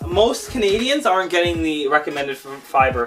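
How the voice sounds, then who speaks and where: A man talks at a fairly quick pace with ordinary pitch variation while music plays in the background. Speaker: fitness and gaming youtuber. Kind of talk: lecture. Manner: fast.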